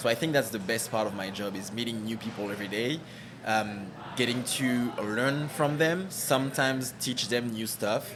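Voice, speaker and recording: A man with a French accent at medium pitch, ordinary pitch variation and a moderate pace, over noticeable background noise and audible room echo. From French Caribbean. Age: 30s. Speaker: marketing director. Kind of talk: interview.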